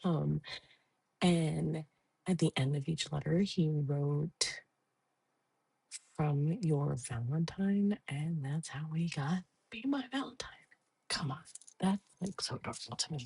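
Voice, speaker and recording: A soft-spoken woman with a very deep, low pitch and a dark, mellow tone sounds somewhat breathy, her intonation lively. She talks at a fairly slow pace with long, frequent pauses, in a dry, close sound with no echo. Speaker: podcaster. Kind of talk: casual chat.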